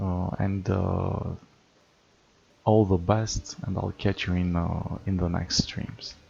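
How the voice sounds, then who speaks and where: A non-native accent at a very slow pace with fairly even intonation. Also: man, very deep, low pitch for a man. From Romania. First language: not English. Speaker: gaming streamer. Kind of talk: live stream chat. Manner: hesitant with many fillers.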